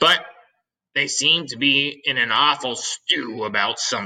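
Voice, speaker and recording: Putting on a raspy character voice, a man talks at a medium pitch and moderate pace with ordinary pitch variation. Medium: read story. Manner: cheeky, jokey.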